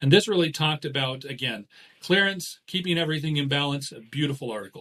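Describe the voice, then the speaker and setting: The man's pitch sits fairly high and his tone is bright and sharp. He speaks at a fairly quick pace. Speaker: doctor. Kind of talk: science lecture. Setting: home office.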